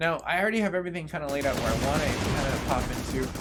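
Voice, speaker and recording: A man talks while background noise and room echo are both plainly heard. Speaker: gaming streamer. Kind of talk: live gameplay commentary. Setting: live stream. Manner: fast; casual, many filler words.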